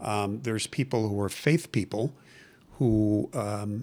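At a fairly slow pace, a man with an American accent speaks in a plain, everyday voice, fairly low-pitched with ordinary pitch variation. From US Midwest, Chicago. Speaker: recovering alcoholic, former lawyer. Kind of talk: personal testimony.

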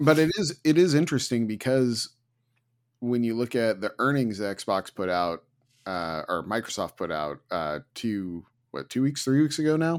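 On a very clean recording with a silent background, a man with an American accent speaks at medium pitch with very wide pitch swings. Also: moderate pace. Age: 40s. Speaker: podcast host. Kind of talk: casual chat.

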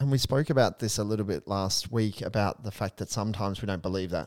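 Recorded very cleanly over a silent background, a man speaks in a normal speaking voice with a fairly low pitch. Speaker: priest and podcast co-host. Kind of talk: casual discussion of a spiritual book.

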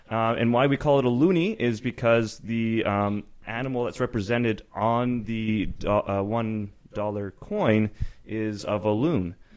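With a Canadian accent, a man talks at a fairly slow pace in a plain, everyday voice of medium pitch and ordinary pitch variation. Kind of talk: casual banter interview.

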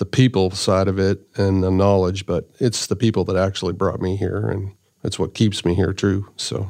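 Over a quiet background, a man with a Canadian prairie accent speaks at a moderate pace in a very deep, low voice with monotone, flat intonation. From Saskatchewan, Canada. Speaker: agricultural product development director. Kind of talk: interview. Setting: studio.

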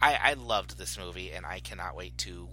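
A man at a moderate pace. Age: 40s. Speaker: podcast host. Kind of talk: casual chat.

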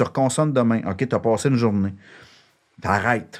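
In a Quebec accent, a man speaks at a moderate pace. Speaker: shelter director and co-founder. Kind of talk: casual interview.

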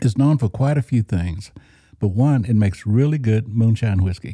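A man's somewhat breathy voice with an American accent, a dark, mellow tone, medium pitch, lively intonation and a moderate pace, in a dry, close sound with no echo. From Oklahoma. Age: 60s. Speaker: church guitarist and recovering alcoholic. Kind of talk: personal testimony interview.

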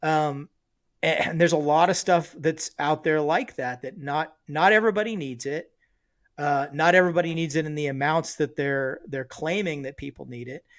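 This man has an unremarkable speaking voice, pitched fairly high, with ordinary pitch variation, a moderate pace and big swings in loudness. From Southern California, then a small rural town. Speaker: military veteran and doctor. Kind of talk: casual chat.

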